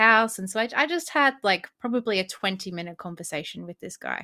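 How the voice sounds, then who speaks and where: On a very clean recording with a silent background, a woman with an Australian accent speaks at a moderate pace in a bright, sharp tone. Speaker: spiritual podcast co-host. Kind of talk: casual chat. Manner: hesitant, many fillers.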